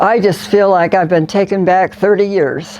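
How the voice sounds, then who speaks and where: A woman's voice with vocal fry at a moderate pace. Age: 80s+. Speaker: makeover client, retired church secretary. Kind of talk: personal interview testimony. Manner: halting.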